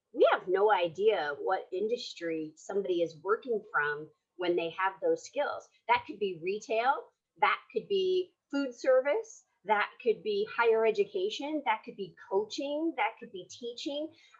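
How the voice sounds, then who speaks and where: A woman's fairly high voice moves through very wide pitch swings. Her loudness also swings greatly. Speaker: career development workshop presenter. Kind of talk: online workshop presentation. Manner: fast; casual, lots of fillers.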